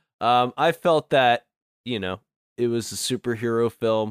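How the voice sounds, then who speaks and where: A man speaks in a normal speaking voice at a medium pitch and a fairly slow pace. The sound is dry and close with no echo, on a very clean recording with a silent background. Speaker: guest co-reviewer. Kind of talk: casual chat about a movie review.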